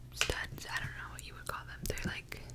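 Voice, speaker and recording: Loud background noise runs behind a woman's voice. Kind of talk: casual vlog chat, soft ASMR-like. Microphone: studio mic.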